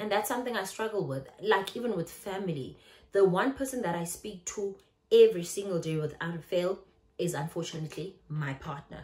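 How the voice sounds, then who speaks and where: In a South African accent, the speaker talks at a fairly quick pace with lively intonation, big swings in loudness, and a somewhat breathy sound. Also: woman, medium pitch for a woman. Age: 30s. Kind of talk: casual talk to camera.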